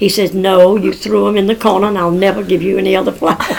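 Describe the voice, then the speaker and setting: A woman talks at a medium pitch. Noticeable noise fills the background. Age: 80s+. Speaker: grandmother telling family history. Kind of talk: oral history storytelling.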